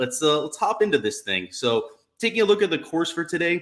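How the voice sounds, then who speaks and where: This man talks fairly quickly in an energetic tone. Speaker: golf DFS and betting streamer. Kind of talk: live stream commentary and chat. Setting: live stream with chat. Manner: amped up, energetic.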